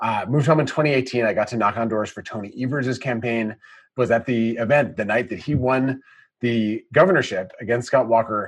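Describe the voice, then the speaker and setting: Against a quiet background, a man with a normal speaking voice and an American accent talks at a fairly quick pace, his medium pitch held in fairly even intonation. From Wisconsin. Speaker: state party chair. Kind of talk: interview.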